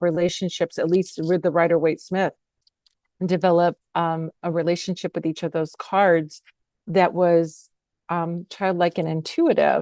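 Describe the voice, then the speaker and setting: A woman with an American accent and medium pitch, an ordinary speaking voice at a moderate pace, dry and close with no echo over a quiet background. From United States. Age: 60s. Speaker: author and tarot reader. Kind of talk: interview conversation. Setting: podcast interview.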